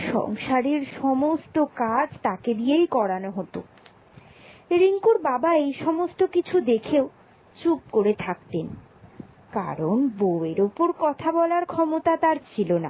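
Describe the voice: A woman's high-pitched, slightly mellow voice with big pitch swings, at a fairly slow pace.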